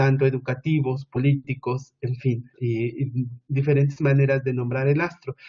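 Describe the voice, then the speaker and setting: At a moderate pace, the speaker sounds somewhat breathy. The intonation stays monotone and flat. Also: man, medium pitch for a man. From Mexico, Oaxaca, Sierra Mixe (Ayuujk people). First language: Mixe (Ayuujk) (speaking Spanish). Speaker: education researcher. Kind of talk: conference presentation. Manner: hesitant, with frequent filler sounds.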